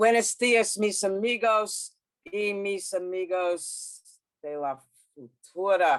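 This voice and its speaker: A woman speaks at a very slow pace. She has a Brooklyn accent. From US, Brooklyn New York. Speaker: sociologist. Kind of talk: lecture. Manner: halting in Spanish.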